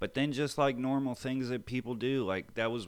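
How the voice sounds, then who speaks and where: The recording is very clean, its background silent. A man talks fairly quickly. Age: 30s. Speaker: person in addiction recovery. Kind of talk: interview. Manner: halting.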